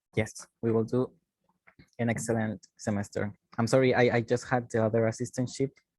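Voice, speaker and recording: A man speaks with a Spanish accent. The sound is dry and close, with no echo. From Chile. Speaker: university teaching assistant. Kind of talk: online class.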